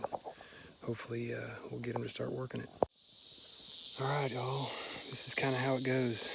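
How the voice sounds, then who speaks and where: A man's very fast, monotone delivery with flat intonation over noticeable background noise. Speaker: hunter and habitat manager. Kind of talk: outdoor vlog commentary. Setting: outdoors in the woods. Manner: casual, halting with fillers.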